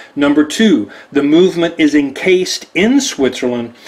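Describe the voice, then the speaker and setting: At a fairly slow pace, a man talks with a Texan accent, his pitch varying in an ordinary way. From Texas. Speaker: watch deal presenter. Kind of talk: product presentation. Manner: animated.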